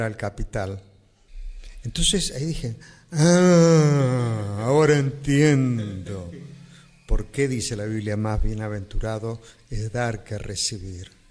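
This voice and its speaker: Speaking very slowly, a man uses a medium pitch with ordinary pitch variation. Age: 60s. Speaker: pastor. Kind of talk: interview answer. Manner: plain, simple speech.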